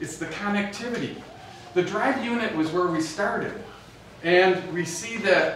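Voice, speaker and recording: Amid light background noise and audible room echo, a man talks at a high pitch and moderate pace with ordinary pitch variation. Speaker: presenter. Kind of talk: presentation talk. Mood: upbeat, joking. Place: hall.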